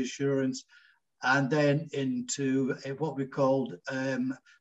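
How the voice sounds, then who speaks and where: A man talks in a Scottish accent. His fairly high voice keeps fairly even intonation. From Scotland, Glasgow. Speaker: engineer and businessman. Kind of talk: interview. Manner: halting.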